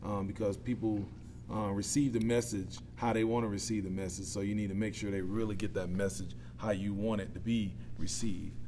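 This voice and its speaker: A man with a Southern US accent talks at a fairly quick pace, his fairly low voice dark and mellow in tone. His intonation is lively, and the room echo is audible. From US South, south Georgia (Quitman). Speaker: plant operations manager and volunteer football coach. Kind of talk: casual interview.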